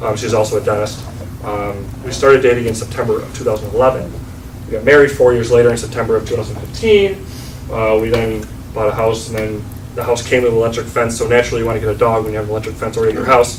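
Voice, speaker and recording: With an American accent, a man talks very fast at a medium pitch and fairly even intonation, amid noticeable background noise and audible room echo. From western New York. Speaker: dentist. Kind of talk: business networking presentation. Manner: casual, many filler ums.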